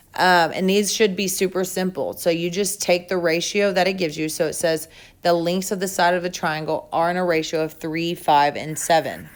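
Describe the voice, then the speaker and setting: With an unremarkable speaking voice, a woman at medium pitch speaks at a moderate pace and with fairly even intonation in a very clean recording over a silent background. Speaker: math teacher. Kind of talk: tutorial. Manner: casual.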